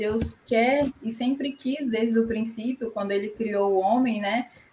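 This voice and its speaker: A woman's fairly high, fairly evenly intoned voice at a fairly slow pace, with noticeable background noise. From Espírito Santo, Brazil. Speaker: church youth leader. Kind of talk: Bible study discussion.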